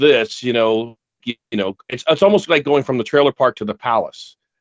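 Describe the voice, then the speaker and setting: This is an unremarkable speaking voice with lively intonation. It moves at a moderate pace. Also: man. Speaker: podcast co-host. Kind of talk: casual chat.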